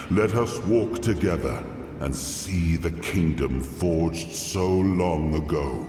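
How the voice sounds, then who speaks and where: A man speaks at a fairly slow pace in a very deep, low put-on character voice, with a clear echo around him. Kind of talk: epic fantasy game dialogue. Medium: video game. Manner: dignified, measured.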